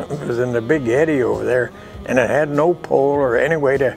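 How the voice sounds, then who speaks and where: Music plays in the background as a man of medium pitch speaks at a fairly quick pace with fairly even intonation. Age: 80s+. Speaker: western painter. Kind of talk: interview answer. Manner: folksy, reminiscing.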